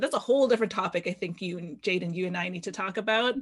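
A woman's ordinary speaking voice at medium pitch, with ordinary pitch variation. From Canada, Filipino family. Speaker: podcast host. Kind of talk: casual interview chat.

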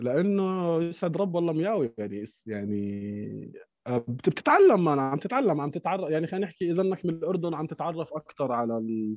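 A man's fairly high voice with a Jordanian accent and very wide pitch swings, against a quiet background. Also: moderate pace. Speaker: DJ and music producer. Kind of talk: casual chat.

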